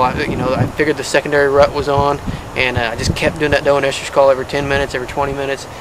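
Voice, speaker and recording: A man talks at a very fast pace in a medium pitch. Noticeable background noise runs underneath. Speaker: bow hunter. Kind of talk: hunting video commentary. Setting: outdoors in a tree stand. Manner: halting with fillers.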